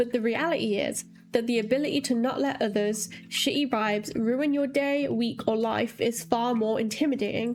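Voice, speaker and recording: A woman speaks in a high pitch with ordinary pitch variation. Music plays behind her. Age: 20s. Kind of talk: video essay talk to camera. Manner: fast.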